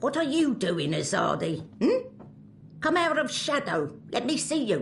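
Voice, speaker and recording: Clear background noise runs under a put-on character voice delivered at a moderate pace. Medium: video game. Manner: broken English, clipped, bossy.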